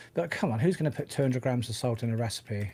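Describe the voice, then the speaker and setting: The voice carries a British accent. The recording is very clean, with a silent background. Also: man. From UK. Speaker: tech podcast co-host. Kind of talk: casual chat. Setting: live stream.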